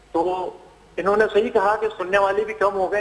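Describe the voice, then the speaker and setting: A man speaks at a high pitch and a moderate pace. Background noise is noticeable. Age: 60s. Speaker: caller. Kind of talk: phone-in call.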